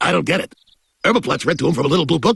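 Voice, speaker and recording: A man speaks very fast in a cartoonish character voice. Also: fairly high pitch for a man. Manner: hesitant, lots of uh.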